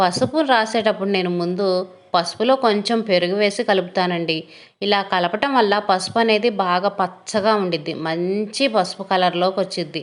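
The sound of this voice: At a moderate pace and medium pitch, a woman talks with few pauses and ordinary pitch variation.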